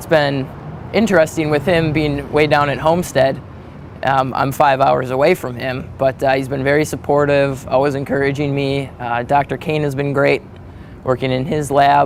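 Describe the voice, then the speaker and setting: A man speaks with an American accent and fairly even intonation. Noticeable background noise is present. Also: fairly high pitch for a man, moderate pace. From Wisconsin, US Midwest (Manitowoc). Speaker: graduate student researcher. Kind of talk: interview monologue. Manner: hesitant, with many fillers.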